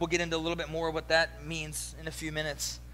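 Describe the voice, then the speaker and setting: A man with an American accent speaks at a fairly quick pace, with audible room echo. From US East Coast. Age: 40s. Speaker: pastor. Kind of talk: sermon.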